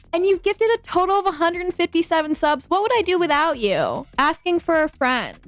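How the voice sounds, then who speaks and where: In an American accent, a woman with an extremely high pitch talks at a fairly quick pace in an animated tone, with hardly any pauses, very even loudness and a dry, close sound with no echo. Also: ordinary pitch variation. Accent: own. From Virginia. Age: 20s. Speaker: streamer and retro game store owner. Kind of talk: casual livestream chat.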